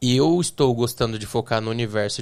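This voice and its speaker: Recorded very cleanly against a silent background, a man speaks at medium pitch with fairly even intonation. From Brazil, interior of São Paulo state (Bauru). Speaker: tech entrepreneur. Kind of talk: podcast interview. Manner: hesitant, many fillers.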